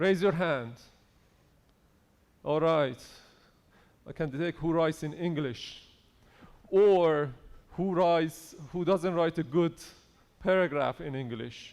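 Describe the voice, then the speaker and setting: Pausing long and often, a man speaks at a very slow pace with fairly high pitch and ordinary pitch variation. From Iran. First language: Persian. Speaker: conference speaker on AI in engineering. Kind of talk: conference talk. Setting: stage with audience.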